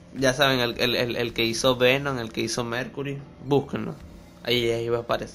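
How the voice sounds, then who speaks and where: Talking at a fairly quick pace, a man with a Venezuelan accent keeps his intonation fairly even. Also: medium pitch for a man. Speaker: DJ and music producer. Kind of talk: casual chat interview.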